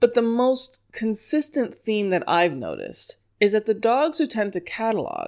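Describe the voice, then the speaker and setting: With an American accent, a woman at a fairly high pitch speaks at a fairly slow pace with very wide pitch swings on a very clean recording with a silent background. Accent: New York accent, only when upset. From New York. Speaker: dog trainer. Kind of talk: solo podcast lecture.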